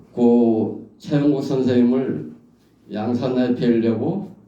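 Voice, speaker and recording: Dark, mellow male tone with audible room echo. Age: 70s. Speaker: professor. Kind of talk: anecdotal talk at a memorial gathering.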